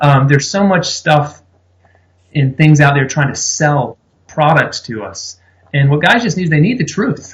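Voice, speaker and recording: Speaking at a fairly slow pace with an American accent, a man uses lively intonation in a fairly high, somewhat breathy voice. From South Louisiana. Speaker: pastor, men's ministry leader. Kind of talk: interview answer.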